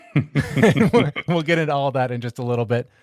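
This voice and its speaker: A man talks at a moderate pace at medium pitch. His is an unremarkable speaking voice. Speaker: podcast host. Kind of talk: casual podcast talk.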